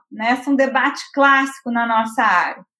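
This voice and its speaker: Her pitch moves with ordinary variation as the woman speaks. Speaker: university professor, moderator. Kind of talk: webinar discussion.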